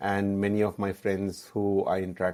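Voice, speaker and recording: Very deep, low male voice with a dark, mellow tone and a Keralan accent, in a very clean recording with a silent background. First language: Malayalam. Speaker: app founder, entrepreneur. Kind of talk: interview. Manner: hesitant, many fillers.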